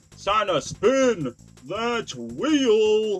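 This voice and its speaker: A man's put-on character voice, high-pitched with lively intonation, over faint music in the background. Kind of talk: announcer voice.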